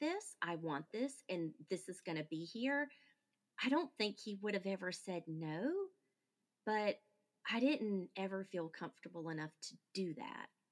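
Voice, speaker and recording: A woman with a plain, everyday voice, medium in pitch, with lively intonation at a fairly slow pace. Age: 40s. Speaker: podcaster and widow. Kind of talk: casual interview.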